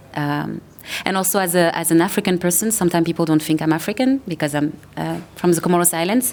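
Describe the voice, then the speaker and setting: A woman with a French accent talks at a very fast pace in a fairly low voice with ordinary pitch variation, over noticeable background noise. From France. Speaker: actor and producer. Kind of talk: panel discussion.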